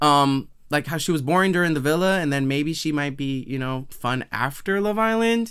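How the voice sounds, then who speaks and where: Here is a man with an ordinary speaking voice and an American accent. His fairly high pitch moves with lively intonation at a moderate pace. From Massachusetts, US. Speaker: podcast host, actor. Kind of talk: casual reaction commentary.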